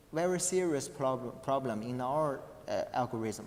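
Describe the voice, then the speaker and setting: A man's very slow speech in a non-native accent, with ordinary pitch variation. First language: not English. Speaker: conference paper presenter. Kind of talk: academic presentation with Q&A. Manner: halting, many false starts and fillers.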